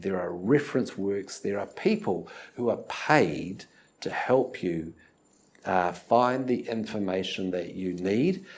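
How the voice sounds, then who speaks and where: This man speaks with a New Zealand accent. His pitch is fairly low. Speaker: university lecturer. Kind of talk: lecture. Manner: hesitant, many fillers.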